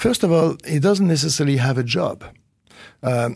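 A man speaks with a French accent, his pitch swinging very widely. The recording is very clean, with a silent background. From France. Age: 50s. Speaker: management consultant and researcher. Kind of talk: interview. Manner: hesitant, repeating words.

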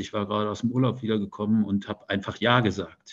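Fairly low in pitch, a man speaks at a fairly quick pace with monotone, flat intonation. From Germany, Detmold (East Westphalia). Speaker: newspaper editor-in-chief. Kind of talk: interview.

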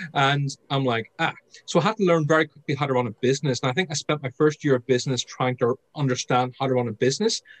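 Delivered at a very fast pace with an Irish accent, the voice shows ordinary pitch variation and a dry, close sound with no echo. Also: man. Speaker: sales trainer and author. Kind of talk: interview.

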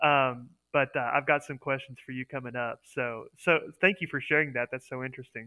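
A man with an American accent talks at a fairly quick pace in a medium pitch. His intonation stays fairly even while his loudness swings a lot. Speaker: co-host. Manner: hesitant, filler-heavy.

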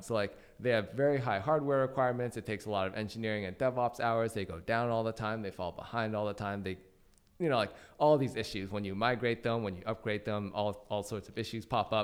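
Speaking very fast with an American accent, a man comes through on a very clean recording with a silent background. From Washington State. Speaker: startup CTO. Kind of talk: interview.

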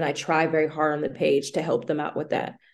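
This woman speaks with an American accent and vocal fry. Her pitch is very deep and low, and the background is quiet. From Boston, US. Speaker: playwright. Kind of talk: interview.

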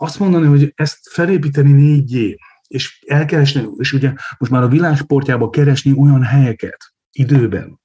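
Somewhat breathy, a man with a fairly high pitch and a dark, mellow tone talks at a moderate pace. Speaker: sports economist, university lecturer. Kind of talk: casual chat.

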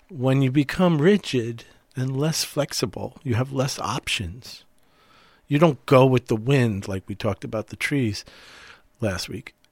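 A man speaks in a plain, everyday voice at medium pitch and a fairly slow pace, with lively intonation, on a very clean recording with a silent background and a dry, close sound with no echo. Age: 60s. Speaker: mental health counselor and podcast co-host. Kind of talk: casual conversational podcast discussion.

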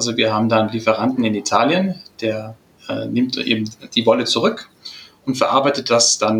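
A man talks at a moderate pace and with ordinary pitch variation while noticeable background noise runs behind him. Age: 20s. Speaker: product development head of family business. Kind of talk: interview.

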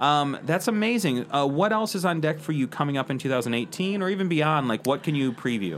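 A man with an American accent talks at a fairly quick pace with hardly any pauses, in a fairly high pitch and an ordinary speaking voice. His intonation is lively and his loudness stays very even. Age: 30s. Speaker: podcast host. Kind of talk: casual interview. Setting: live recording at a hotel.

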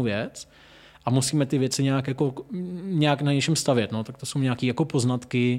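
This man speaks at medium pitch and a fairly quick pace. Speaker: restaurant owner and wine seller. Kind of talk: casual chat. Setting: in a venue, hosts at a distance.

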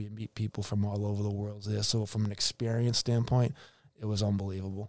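The speech comes in a monotone, flat intonation at a fairly quick pace, with a Boston accent. The recording is very clean with a silent background, and the sound is dry and close with no echo. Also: man. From Boston area, Massachusetts. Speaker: hockey executive and former player agent. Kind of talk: casual interview.

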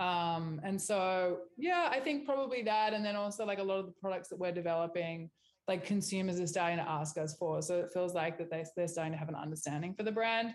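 A woman's medium-pitched voice with an Australian accent, ordinary pitch variation, a fairly quick pace and hardly any pauses. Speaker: beauty brand founder and CEO. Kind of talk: interview.

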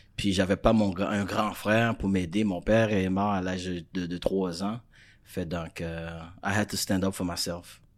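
Very deep, low-pitched male speech, monotone and flat, at a fairly slow pace on a very clean recording with a silent background. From Florida, Haitian family. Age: young. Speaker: life coach. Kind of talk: interview. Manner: frequent French-English code-switching; halting, repeats words.

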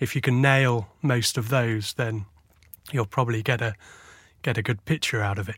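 With a southern English accent, a man talks in fairly even intonation with long, frequent pauses, on a very clean recording with a silent background. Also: medium pitch for a man, moderate pace. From southern England. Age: 40s. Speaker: photojournalist. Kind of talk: interview. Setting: studio.

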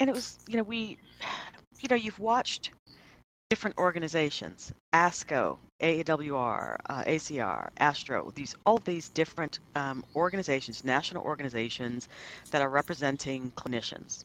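On a very clean recording with a silent background, a woman speaks at a very deep, low pitch with very wide pitch swings. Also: moderate pace. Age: 50s. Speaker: physician and podcast co-host. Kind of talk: casual discussion among colleagues.

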